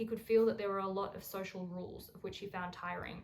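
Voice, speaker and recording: A woman talks fairly quickly in an Australian accent at a medium pitch, with monotone, flat intonation. Audible room echo is present. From Australia, Melbourne. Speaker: essay writer. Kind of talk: reading aloud.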